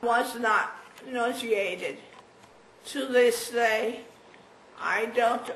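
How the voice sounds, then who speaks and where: A woman speaks at a very slow pace with fairly even intonation and a fairly high pitch. There is noticeable background noise and audible room echo. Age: 80s+. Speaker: stroke patient. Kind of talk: testimony. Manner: halting.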